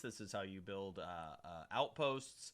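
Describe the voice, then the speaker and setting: A man's bright, sharp tone with very wide pitch swings. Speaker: gaming video creator. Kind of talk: tutorial. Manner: fast; casual with fillers.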